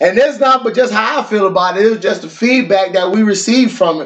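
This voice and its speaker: A man speaks with ordinary pitch variation. Noticeable background noise is audible behind him. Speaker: podcast co-host, prays. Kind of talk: prayer and casual chat.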